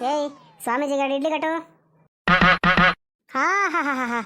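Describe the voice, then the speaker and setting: The speaker uses a high-pitched cartoonish character voice. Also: fairly quick pace. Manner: smug, teasing.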